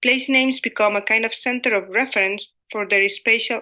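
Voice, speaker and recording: Against a quiet background, a woman in a Spanish accent speaks at a moderate pace, her pitch fairly high, her tone bright and sharp, and her intonation fairly even. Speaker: academic lecturer. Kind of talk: conference presentation. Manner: formal.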